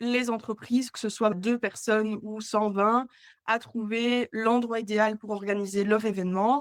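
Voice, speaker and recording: Fairly high in pitch, a woman speaks at a fairly slow pace with monotone, flat intonation. The sound is dry and close, with no echo. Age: 20s. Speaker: entrepreneur, agency co-founder and hotel sales rep. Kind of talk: podcast interview. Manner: hesitant, many filler sounds.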